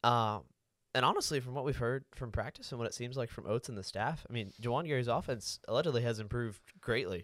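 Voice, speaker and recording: In a very clean recording with a silent background, a man with an American accent and medium pitch talks at a very fast pace with ordinary pitch variation. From Florida (Panama City). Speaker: student podcast co-host. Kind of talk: casual sports talk.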